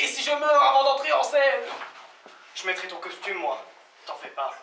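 Speech at a moderate pace carries audible room echo over light background noise. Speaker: stage actor. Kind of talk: theatrical monologue and dialogue. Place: stage. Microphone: camera far.

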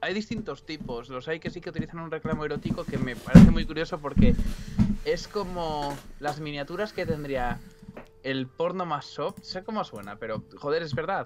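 Noticeable background noise behind a man's voice. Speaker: streamer and illustrator; streamer. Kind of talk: casual chat. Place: home room. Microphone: too quiet at first.

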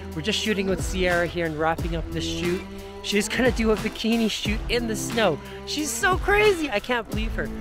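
Clear music plays in the background as someone speaks at a moderate pace, in a dry sound with no echo. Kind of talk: casual vlog chat. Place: open country. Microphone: phone near.

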